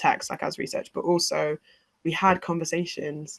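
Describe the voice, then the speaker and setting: At a moderate pace and with fairly even intonation, the voice shows vocal fry, its sound dry and close with no echo. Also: woman. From Britain. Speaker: musician and sound designer. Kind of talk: interview.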